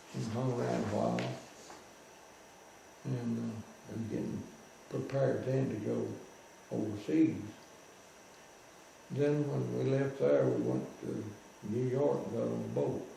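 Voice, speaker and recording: Over noticeable background noise, a man talks fairly slowly with long, frequent pauses, his pitch swinging very widely. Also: fairly low pitch for a man. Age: 80s+. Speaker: WWII veteran, former POW. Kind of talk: interview answer, storytelling. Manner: chatty, folksy.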